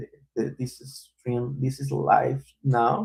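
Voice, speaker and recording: A man's medium-pitched voice with a non-native accent, at a very slow pace. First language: not English. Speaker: developer live streamer. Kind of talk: live coding stream. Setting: live stream. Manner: halting.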